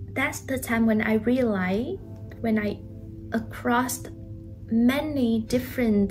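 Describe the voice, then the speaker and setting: Room echo is audible as a woman speaks. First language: not English. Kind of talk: personal vlog update. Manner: hesitant, with fillers.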